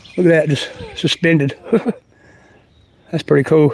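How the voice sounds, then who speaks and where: With an American accent, a man speaks at a high pitch in a monotone, flat intonation and a moderate pace. The sound is dry and close with no echo, though there is noticeable background noise. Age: 60s. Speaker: outdoor vlogger. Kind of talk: casual livestream walk-and-talk. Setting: outdoors. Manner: halting.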